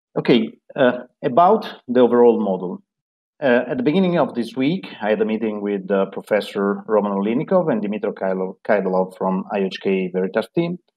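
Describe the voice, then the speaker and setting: A man's unremarkable speaking voice at medium pitch and a moderate pace, lively in intonation, over a quiet background. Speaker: software engineer. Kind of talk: team meeting update. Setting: video call. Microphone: video call.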